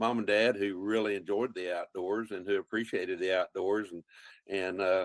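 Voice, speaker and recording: Speaking in a Texan accent, a man uses a fairly low pitch and ordinary pitch variation at a moderate pace, with a dry, close sound and no echo. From central Texas, Colorado County, German-speaking community. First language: German. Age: 70s. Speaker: wildlife biologist and outdoor TV host. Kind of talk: interview conversation.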